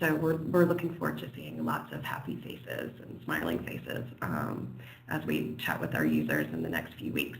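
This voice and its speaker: Someone with an American accent speaks at a moderate pace amid noticeable background noise. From United States. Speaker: software company presenter. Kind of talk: webinar presentation. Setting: online webinar. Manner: hesitant, many fillers.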